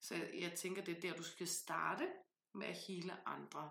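A woman speaks with a fairly low pitch and vocal fry. Her tone is bright and sharp. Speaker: podcast host, tarot reader and author. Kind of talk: casual chat.

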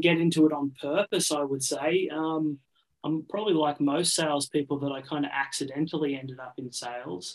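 In an Australian accent, a man with a fairly high pitch talks at a fairly quick pace. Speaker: business coach. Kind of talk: interview conversation.

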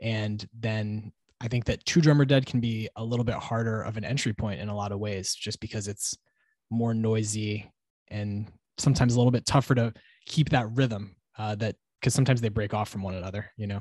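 Against a quiet background, a man with an unremarkable speaking voice talks at a fairly quick pace in a fairly low pitch and fairly even intonation, the sound dry and close with no echo. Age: 30s. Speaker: podcast host. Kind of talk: casual interview chat. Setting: video call.

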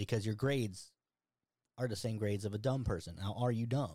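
In an American accent, a man speaks at medium pitch and a moderate pace, his tone dark and mellow. His voice is somewhat breathy, captured in a very clean recording with a silent background. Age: 40s. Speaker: podcast host. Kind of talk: casual chat.

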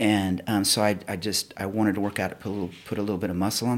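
An ordinary speaking voice, a man talks fairly quickly at a fairly low pitch with fairly even intonation. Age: 50s. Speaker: retired police officer, gym member. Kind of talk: interview testimony.

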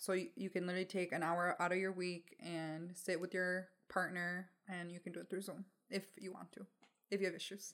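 This woman talks fairly quickly at a medium pitch, her intonation flat and monotone. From Mexico, raised in Michigan, US. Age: 20s. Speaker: podcast co-host. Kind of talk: casual chat. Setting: home recording with dog, video.

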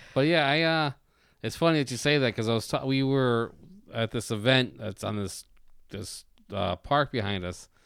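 On a very clean recording with a silent background, a man speaks in a normal speaking voice at a medium pitch and moderate pace, with ordinary pitch variation. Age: 40s. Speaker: podcast host. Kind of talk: casual interview chat.

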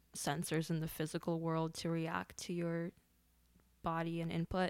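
In a normal speaking voice, the speaker goes at a fairly slow pace on a very clean recording with a silent background. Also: woman. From grew up outside the US, immigrant background. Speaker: creative technologist and XR artist. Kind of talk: casual interview conversation.

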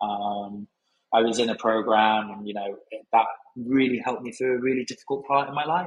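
A man with a southern English accent, medium in pitch with ordinary pitch variation, fairly quick, with big swings in loudness. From southern England, Brighton. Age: 30s. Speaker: hospitality operations manager. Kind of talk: casual interview.

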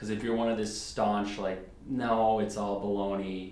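With noticeable background noise and audible room echo, a man speaks at a fairly low pitch. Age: 20s. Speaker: podcast guest. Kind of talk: casual chat. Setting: studio. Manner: animated.

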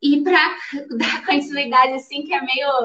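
A woman speaks in a high voice with a bright, sharp tone. Her voice is raised and projected. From interior of Rio de Janeiro state, Brazil. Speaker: ultramarathon runner. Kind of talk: casual chat. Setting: live stream.

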